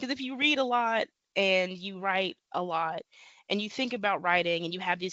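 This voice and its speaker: Medium-pitched female speech with an American accent. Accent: Midwestern accent, others notice it. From US Midwest, Ohio. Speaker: author. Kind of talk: interview.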